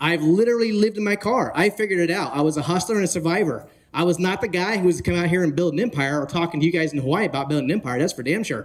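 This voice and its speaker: The speaker rushes along at a very fast pace with an animated tone, ordinary pitch variation and hardly any pauses. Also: man, high pitch for a man. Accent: West Coast. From northern California. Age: 40s. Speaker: real estate conference speaker. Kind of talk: motivational talk. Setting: stage with audience.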